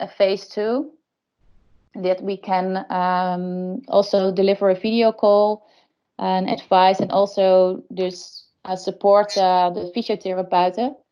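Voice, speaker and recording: A woman speaks with a Dutch accent at a medium pitch. Her intonation stays monotone and flat. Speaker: case presenter, insurance innovation. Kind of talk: webinar case presentation. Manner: hesitant, many fillers.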